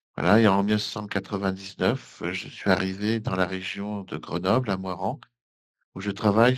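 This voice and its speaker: A man with a normal speaking voice talks at a fairly slow pace, his fairly low pitch moving in a fairly even intonation against a quiet background. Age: 60s. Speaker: engineer and election candidate. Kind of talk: interview.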